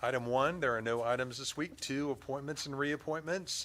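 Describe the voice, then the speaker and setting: This man has a fairly high voice with a bright, sharp tone. His pitch varies in an ordinary way. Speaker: city council chair. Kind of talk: formal meeting chairing. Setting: council chamber. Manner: fast.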